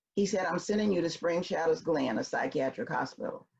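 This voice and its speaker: Somewhat breathy and fairly low-pitched, a woman speaks at a fairly quick pace with a Memphis accent. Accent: Southern US (Memphis). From US South, Memphis, Tennessee. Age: 60s. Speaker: consultant and speaker. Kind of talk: personal storytelling. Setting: virtual event.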